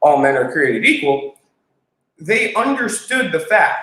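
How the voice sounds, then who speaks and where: His tone is bright and sharp. The man's pitch swings very widely. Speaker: constitutional activist co-host. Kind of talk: live stream chat. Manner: fast.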